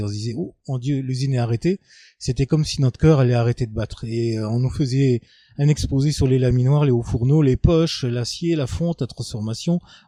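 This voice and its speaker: Over a quiet background, a man speaks at a fairly quick pace with a medium pitch, ordinary pitch variation and a dark, mellow tone, in a dry, close sound with no echo. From Lorraine, France (Moselle, Fensch valley). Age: 50s. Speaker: local resident interviewee. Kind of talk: testimony interview. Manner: hesitant, many fillers.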